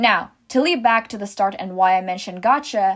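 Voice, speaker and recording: A non-native accent on a very clean recording with a silent background. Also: woman. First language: not English. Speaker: small animation content creator. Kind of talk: commentary monologue.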